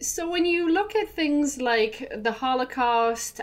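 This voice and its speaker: A woman with an Irish accent, at a fairly slow pace. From Ireland. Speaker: spiritual hypnotherapist. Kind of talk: casual interview conversation. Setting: studio. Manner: halting, with many fillers.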